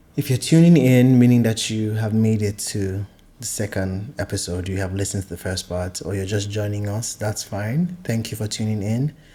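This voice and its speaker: A man's somewhat breathy, fairly low-pitched voice at a moderate pace, with ordinary pitch variation and hardly any pauses. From Nigeria. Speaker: podcast host. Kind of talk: solo podcast monologue. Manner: hesitant, many fillers.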